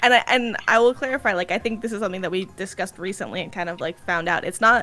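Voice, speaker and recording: A woman with an American accent talks at a very fast pace in a bright, sharp tone. Her pitch is medium, with ordinary variation. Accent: Jersey accent, shifts with company. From New Jersey, US. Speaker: roundtable show host. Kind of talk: casual panel discussion.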